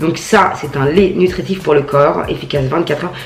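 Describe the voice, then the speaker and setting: An animated tone comes at a moderate pace, with audible room echo and noticeable background noise. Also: woman. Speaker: beauty vlogger. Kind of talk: casual product review vlog.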